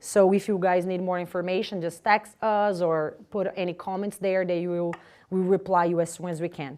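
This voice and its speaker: A woman with a non-native accent speaks at a medium pitch and a moderate pace. Her intonation is monotone and flat, over a quiet background. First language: Portuguese. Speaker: spiritist lecturer. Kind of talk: community announcements. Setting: live-streamed talk with audience. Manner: halting.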